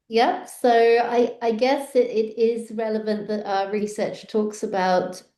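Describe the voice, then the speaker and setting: Fairly high-pitched and dark, mellow in tone, a woman speaks at a fairly slow pace with fairly even intonation. Audible room echo is present. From Australia and Europe (France, Switzerland). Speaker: psychology researcher. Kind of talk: podcast interview.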